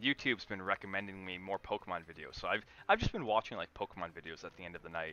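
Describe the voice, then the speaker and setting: A man with a fairly low pitch and a bright, sharp tone talks at a very fast pace with ordinary pitch variation. His loudness swings widely, and the sound is dry and close with no echo. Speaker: gaming streamer. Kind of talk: casual chat.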